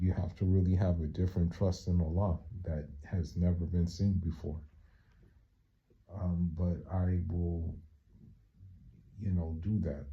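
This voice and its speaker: A man speaks fairly slowly in a very deep, low, somewhat breathy voice with a dark, mellow tone. His intonation is monotone and flat, with long, frequent pauses. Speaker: vlogger. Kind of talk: casual vlog monologue. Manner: halting, many fillers.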